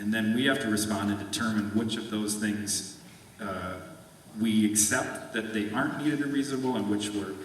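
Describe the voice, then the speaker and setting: Against noticeable background noise and audible room echo, a man talks at a fairly low pitch with fairly even intonation. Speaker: state agency staff member. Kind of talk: conference presentation. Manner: fast.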